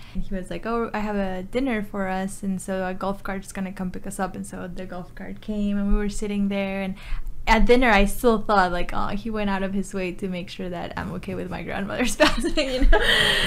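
Speaking with an American accent at a fairly quick pace, a woman at medium pitch keeps fairly even intonation and hardly any pauses while her loudness swings widely, all with audible room echo. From Texas, New Braunfels (born Mexico City). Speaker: public information officer. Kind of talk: casual chat.

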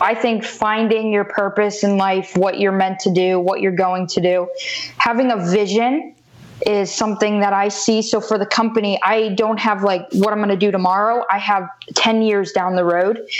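Against noticeable background noise, a woman with an American accent speaks at a medium pitch in a monotone, flat intonation with very even loudness. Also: moderate pace. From US South, South Florida. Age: 20s. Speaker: entrepreneur, former softball player. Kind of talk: interview.

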